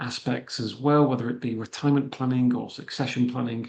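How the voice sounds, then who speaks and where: Here a man talks at a fairly quick pace with a slight Manchester accent. His pitch varies in an ordinary way. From northern England, Manchester. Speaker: immigration consultant and financial planner. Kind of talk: webinar presentation. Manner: hesitant, many fillers.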